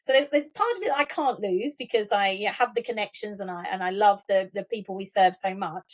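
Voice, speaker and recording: The speaker talks with an Essex accent, ordinary pitch variation and hardly any pauses. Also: woman, medium pitch for a woman. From Essex, England (Colchester). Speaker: school trust chief executive. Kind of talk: interview conversation. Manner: repetitive false starts.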